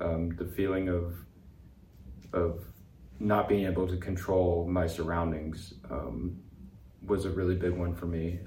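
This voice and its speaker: Long, frequent pauses run through speech in a dark, mellow tone with vocal fry. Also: man, very deep, low pitch for a man. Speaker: veteran and speaker. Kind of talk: interview conversation.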